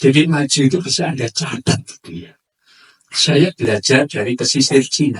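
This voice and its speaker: A man talks with vocal fry. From Madura / Surabaya, East Java. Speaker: lecturer / speaker. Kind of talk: lecture to a community forum.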